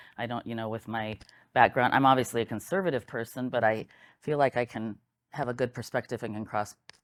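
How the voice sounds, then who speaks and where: Speech comes at a very fast pace in a Midwestern US accent. The recording is very clean, with a silent background. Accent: US Midwest. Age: 60s. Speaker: local election candidate. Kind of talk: candidate interview.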